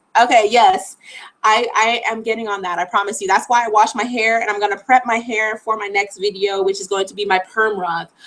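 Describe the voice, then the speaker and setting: A woman's ordinary speaking voice with an American accent, fairly high in pitch, fairly quick, with fairly even intonation. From Florida. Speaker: travel vlogger. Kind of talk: live stream Q&A. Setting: live stream at home. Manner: casual, chatty.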